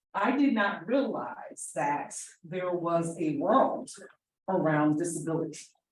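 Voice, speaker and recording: A woman with an American accent, fairly low-pitched and somewhat breathy, with lively intonation and audible room echo. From New Jersey, South Jersey. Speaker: special education advocate. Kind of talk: conference presentation.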